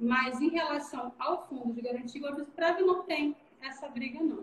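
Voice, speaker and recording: Her pitch high and ordinarily varied, a woman speaks at a moderate pace. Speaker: business executive in accounting and labor law. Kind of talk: live stream Q&A, explanatory. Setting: video call live stream. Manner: animated.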